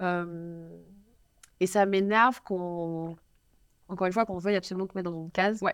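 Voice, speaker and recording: A woman with a Parisian accent speaks in a medium pitch at a fairly quick pace, her intonation flat and monotone, broken by long, frequent pauses. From Paris, France. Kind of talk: interview chat. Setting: studio.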